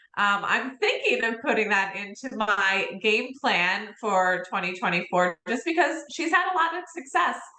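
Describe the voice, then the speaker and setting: Over noticeable background noise, a woman with a fairly high pitch talks at a fairly slow pace with very wide pitch swings and hardly any pauses. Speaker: real estate coach. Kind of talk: interview. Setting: livestream.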